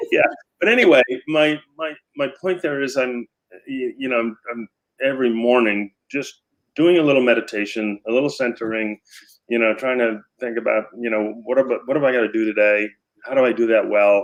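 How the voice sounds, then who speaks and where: Speaking at a fairly quick pace, a man uses a medium-pitched voice with ordinary pitch variation. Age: 60s. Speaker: philanthropist and business leader. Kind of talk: interview. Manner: halting, many repetitions.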